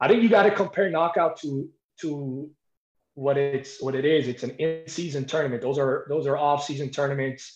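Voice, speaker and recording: An unremarkable speaking voice from a man with an American accent. His pitch sits fairly high and shows ordinary variation. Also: moderate pace. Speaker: high school wrestling coach. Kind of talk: interview.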